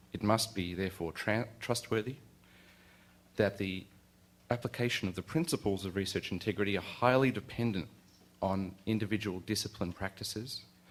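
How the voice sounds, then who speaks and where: A man's fairly low voice with an Australian accent, at a moderate pace with ordinary pitch variation and long, frequent pauses. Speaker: university lecturer. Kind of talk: lecture. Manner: halting.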